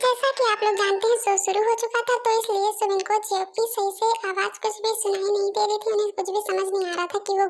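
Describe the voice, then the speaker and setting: Speaking at a very fast pace, a woman uses an extremely high pitch. Her intonation is monotone and flat. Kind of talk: casual fan dub narration. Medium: fan dub. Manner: chatty, informal.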